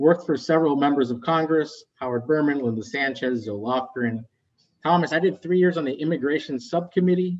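A man with a fairly high voice talks fairly quickly, his pitch varying in an ordinary way. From West Virginia, US (born in Colombia). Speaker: executive director of an environmental nonprofit. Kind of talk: interview conversation. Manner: animated.

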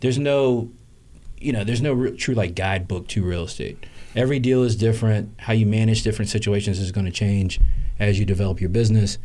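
A man with an American accent talks at a fairly quick pace and medium pitch. His tone is dark and mellow, and the room echo is audible. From US South. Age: 30s. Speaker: real estate investor. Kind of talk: interview. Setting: live stream.

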